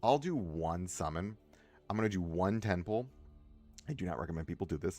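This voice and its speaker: A man's very deep, low voice at a fairly quick pace, with lively intonation and music in the background. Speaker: gaming streamer. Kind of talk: livestream gameplay commentary. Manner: casual, rambling with frequent self-interruptions.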